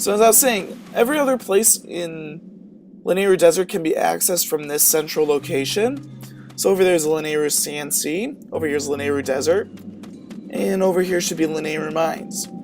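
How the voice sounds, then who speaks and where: A man's high-pitched, lively voice at a fairly quick pace, with music in the background. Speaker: video game let's play commentator. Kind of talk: casual gameplay commentary.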